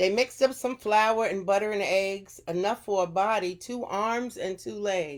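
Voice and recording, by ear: Natural-voiced reading aloud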